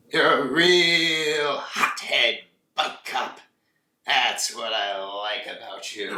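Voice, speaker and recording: A man's put-on character voice, fairly high-pitched, with lively intonation, big swings in loudness, a very slow pace, and audible echo. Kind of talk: parody of shouting cop-show boss. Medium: comedy sketch. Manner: brusque, barking.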